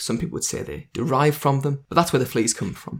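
A man speaks in a fairly high, somewhat breathy voice with lively intonation. The recording is very clean, with a silent background. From northeast England. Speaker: podcaster and invertebrate enthusiast. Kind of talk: casual chat interview.

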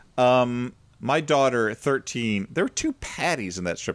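A man with an American accent, an unremarkable speaking voice, medium pitch, lively intonation and a moderate pace, on a very clean recording with a silent background. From small-town US. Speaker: comedy podcast host. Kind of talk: casual chat.

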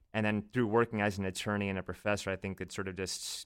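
This man talks very fast at a fairly low pitch with an American accent. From US South (Virginia). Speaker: law professor and podcaster. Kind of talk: casual chat. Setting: remote call.

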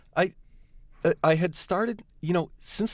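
Moderately paced male speech, a very clean recording with a silent background. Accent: American. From US Midwest, suburbs of Detroit. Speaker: television writer. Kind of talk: interview. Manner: halting.

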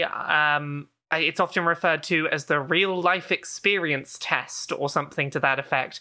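With a British accent, a woman talks in a bright, sharp tone with ordinary pitch variation, captured in a very clean recording against a silent background. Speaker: video game journalist. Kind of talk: casual interview chat.

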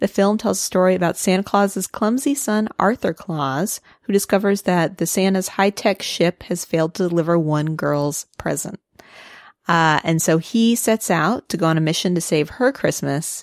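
A woman with a Midwestern accent talks at a moderate pace and a medium pitch, with ordinary pitch variation and very even loudness. The recording is very clean and dry, close with no echo and a silent background. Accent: Midwestern twang. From US Midwest. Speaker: podcast co-host. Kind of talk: casual chat. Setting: studio.

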